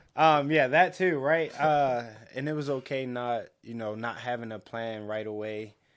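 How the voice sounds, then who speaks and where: A man in an ordinary speaking voice talks at a moderate pace and a medium pitch, with ordinary pitch variation. His loudness swings widely on a very clean recording with a silent background. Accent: American. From Baltimore, Maryland. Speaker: podcast co-host. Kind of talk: casual chat.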